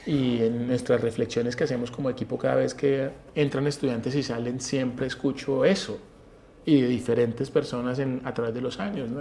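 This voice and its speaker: Medium pitch from a male speaker, fairly even intonation, and a fairly quick pace. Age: 40s. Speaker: university professor. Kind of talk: interview. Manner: hesitant, with fillers.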